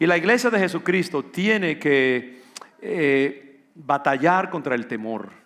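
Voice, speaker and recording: Over noticeable background noise, a man with a fairly high pitch speaks very slowly and with lively intonation. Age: 60s. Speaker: pastor. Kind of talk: sermon.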